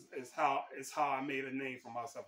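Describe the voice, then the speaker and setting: There is noticeable background noise. A man speaks at a moderate pace and a medium pitch. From Texas, Houston area. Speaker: sports writer and vlogger. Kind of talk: casual vlog introduction. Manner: halting, many repeated words.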